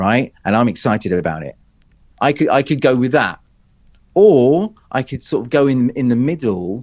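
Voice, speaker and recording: Intonation is lively in this man's speech. He has a British accent. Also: very clean recording, silent background. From Great Britain. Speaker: public speaking coach. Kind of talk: interview. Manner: animated.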